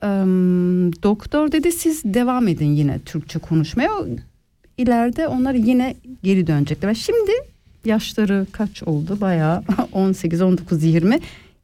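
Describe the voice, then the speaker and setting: Very slowly and at a very even loudness, a woman speaks in a dark, mellow tone, her medium pitch swinging very widely. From Switzerland, Ticino then German-speaking part. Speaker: radio host. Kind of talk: casual chat.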